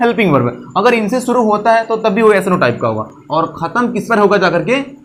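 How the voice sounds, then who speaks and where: A man talks at a moderate pace in a high voice. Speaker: English teacher. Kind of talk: grammar lesson to camera. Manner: funny, comedic.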